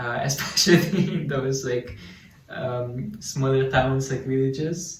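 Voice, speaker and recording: A man with a medium-pitched voice speaks at a fairly slow pace, with noticeable background noise and audible room echo. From Slovenia. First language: Slovene. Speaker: student sharing local life. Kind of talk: casual chat.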